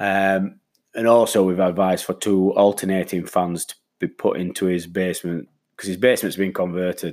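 In a very clean recording with a silent background, a man talks at a moderate pace with a very deep, low pitch and a monotone, flat intonation. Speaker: damp-proofing specialist. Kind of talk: solo podcast talk. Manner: hesitant, many fillers. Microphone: new microphone.

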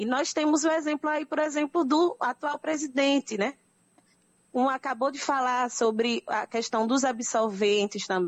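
A woman's high-pitched voice at a moderate pace, with ordinary pitch variation and big swings in loudness. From Brazil, Northeast (Pernambuco). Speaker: anthropologist. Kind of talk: radio interview.

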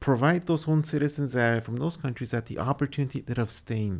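This is a man's voice at medium pitch. Its pitch varies in an ordinary way. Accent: American. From Texas. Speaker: community radio host. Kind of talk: casual chat. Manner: halting.

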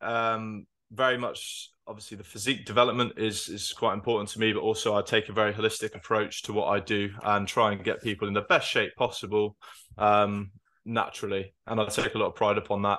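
A man's fairly low, bright and sharp voice at a fairly quick clip, monotone and flat, over a quiet background. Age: 20s. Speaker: model and fitness coach. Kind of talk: casual chat.

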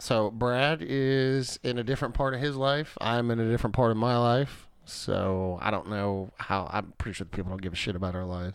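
A normal speaking voice at a fairly quick pace with hardly any pauses and ordinary pitch variation, against a quiet background. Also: man, medium pitch for a man. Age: 30s. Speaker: podcast co-host. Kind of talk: casual chat.

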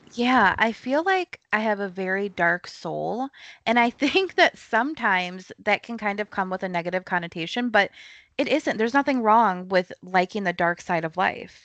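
With an unremarkable speaking voice, a woman talks at a moderate pace and medium pitch with ordinary pitch variation, the sound dry and close with no echo against a quiet background. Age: 20s. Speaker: thriller author. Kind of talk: casual chat. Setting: remote interview from home.

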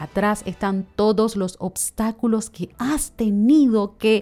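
Speaking at a very slow pace, a woman with a Panamanian accent has a fairly high pitch and ordinary pitch variation. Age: 30s. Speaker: podcast host. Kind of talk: reflective solo monologue.

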